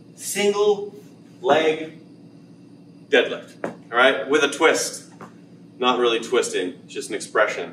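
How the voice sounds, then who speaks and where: A man speaks at a very slow pace, leaving long, frequent pauses. The room echo is audible and there is light background noise. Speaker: fitness coach. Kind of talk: tutorial. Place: gym. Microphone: camera far.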